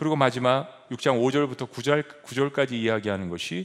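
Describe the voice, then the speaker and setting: A man talks at a medium speed, his intonation lively. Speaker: pastor. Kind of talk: sermon. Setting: church.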